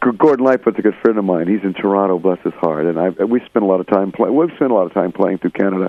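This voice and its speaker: Talking very fast with hardly any pauses, a man with an American accent uses a fairly low pitch and ordinary pitch variation. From Florida. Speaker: singer-songwriter. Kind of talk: interview. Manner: animated.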